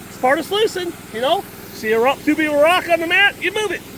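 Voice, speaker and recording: With noticeable background noise behind him, a man talks at a fairly quick pace in a raised, projected voice with lively intonation. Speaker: gold prospecting equipment demonstrator. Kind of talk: outdoor equipment demonstration. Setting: outdoors at a dig site. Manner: loud, speaking over pump; casual, joking.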